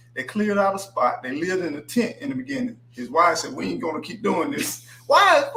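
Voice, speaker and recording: A man speaks in a raised, projected voice at a high pitch and a fairly quick pace. His tone is animated, with very wide pitch swings, and noticeable background noise can be heard. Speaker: livestream host. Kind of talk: casual chat. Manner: slurs words.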